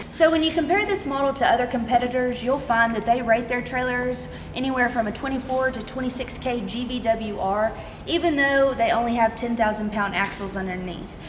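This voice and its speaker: A woman with a high voice talks at a fairly quick pace amid noticeable background noise and audible room echo. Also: ordinary pitch variation. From Texas (Winnie, small town). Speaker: trailer salesperson. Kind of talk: product walkthrough.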